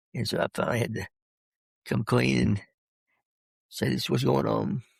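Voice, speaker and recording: The man's pitch is very deep and low, with very wide pitch swings and vocal fry. The sound is dry and close, with no echo. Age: 60s. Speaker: retired pastor. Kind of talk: interview. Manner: halting, with stutters and repeats; fast speech.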